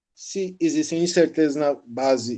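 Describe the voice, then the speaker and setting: Fairly high for a man, his voice has a dark, mellow tone. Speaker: university lecturer. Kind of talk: lecture. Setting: online class recorded from phone. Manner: halting. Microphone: phone mic.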